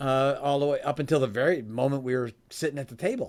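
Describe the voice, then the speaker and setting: A man's very fast, animated delivery in an American accent, fairly high in pitch. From US Midwest, Chicago area. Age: 60s. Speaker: author and speaker on giving. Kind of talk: interview. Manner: animated storytelling.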